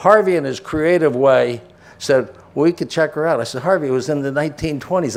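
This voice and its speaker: The speaker is a man. His voice shows ordinary pitch variation. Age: 60s. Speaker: real estate developer and board chairman. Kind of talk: ceremony speech. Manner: halting, many restarts.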